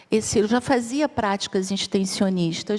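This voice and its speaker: A woman speaks with a Rio de Janeiro accent. Her pitch is medium, and her intonation is fairly even. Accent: Rio de Janeiro (carioca). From Rio de Janeiro, Brazil. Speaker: psychologist and researcher on ageing. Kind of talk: conference talk.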